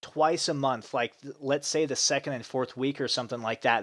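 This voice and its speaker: A very clean recording with a silent background and ordinary pitch variation. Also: man. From United States, Russian immigrant family. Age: 30s. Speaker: gaming streamer. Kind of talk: casual chat. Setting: live stream from a different room. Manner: hesitant, many fillers.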